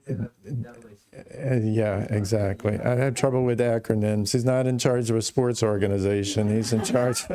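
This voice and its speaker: A man speaks at a medium pitch and a fairly slow pace over noticeable background noise. His intonation is fairly even and his loudness very even. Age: 60s. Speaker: congregation member. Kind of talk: testimony. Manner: halting.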